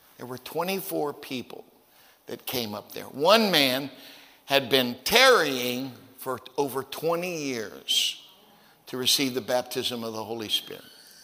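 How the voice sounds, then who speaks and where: A man's medium-pitched, very slow speech with lively intonation, big swings in loudness and noticeable background noise. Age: 60s. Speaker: preacher. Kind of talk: sermon. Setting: church.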